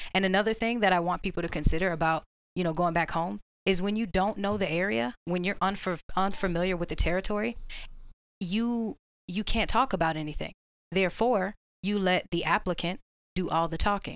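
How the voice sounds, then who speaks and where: This is a normal speaking voice at a fairly quick pace. Its pitch variation is ordinary. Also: woman, medium pitch for a woman. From Orlando, Florida. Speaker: Marine recruiter. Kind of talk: casual panel discussion.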